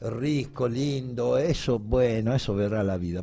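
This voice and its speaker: Somewhat breathy and dark, mellow in tone, a man's medium-pitched voice carries ordinary pitch variation. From Italy (Bari). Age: 60s. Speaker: sports journalist. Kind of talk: radio interview. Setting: radio studio.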